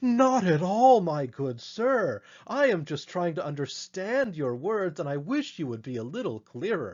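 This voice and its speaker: A man's high, put-on character voice, at a moderate pace with hardly any pauses and very wide pitch swings. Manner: sarcastic.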